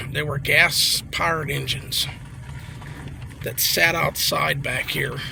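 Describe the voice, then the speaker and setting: Speaking at a fairly slow pace with long, frequent pauses, a man uses an American accent. Audible room echo and noticeable background noise fill the recording. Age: 60s. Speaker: local vlogger. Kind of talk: walking vlog narration. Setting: outdoors. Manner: casual, hesitant with fillers.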